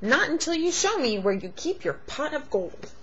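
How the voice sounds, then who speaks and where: A woman's whiny, put-on character voice at a moderate pace, with clear background noise. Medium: read story.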